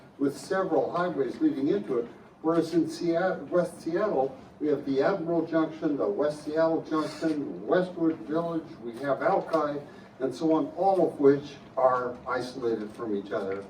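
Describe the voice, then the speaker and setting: A man with a fairly high pitch and lively intonation at a moderate pace, set against noticeable background noise. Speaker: audience member. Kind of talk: audience question. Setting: public forum with audience. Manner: loud.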